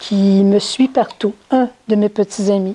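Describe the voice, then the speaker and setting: With a Quebec accent, a woman speaks at a very slow pace with ordinary pitch variation, the sound dry and close with no echo. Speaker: spiritual teacher. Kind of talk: talk to an audience. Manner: halting.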